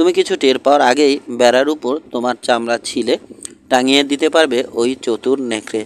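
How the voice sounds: The speaker reads in a natural voice, with pitch that varies an ordinary amount.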